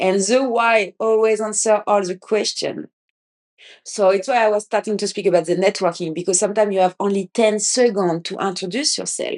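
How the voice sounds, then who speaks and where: A woman with a French accent speaks at a fairly quick pace, her medium pitch carried by fairly even intonation. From France. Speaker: podcast host. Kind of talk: casual podcast monologue. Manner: halting, many restarts.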